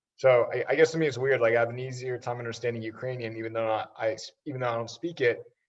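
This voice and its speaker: A man talks very fast at a medium pitch, his voice somewhat breathy. His intonation stays fairly even. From US. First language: Russian. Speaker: social media influencer. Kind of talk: casual podcast interview.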